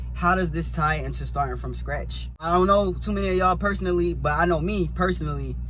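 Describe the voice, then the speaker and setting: A man with an American accent talks very fast in a very deep, low pitch, with hardly any pauses. His intonation is monotone and flat, and noticeable background noise is present. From US Northeast, North Philadelphia. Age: 20s. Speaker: vlogger, truck driver. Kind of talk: personal vlog monologue.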